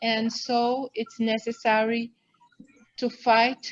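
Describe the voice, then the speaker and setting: A woman speaks very slowly with a Brazilian accent. Her fairly high voice stays flat and monotone. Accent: Brazilian Portuguese, non-native English. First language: Portuguese. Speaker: wildlife veterinarian and foundation director. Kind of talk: interview. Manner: halting.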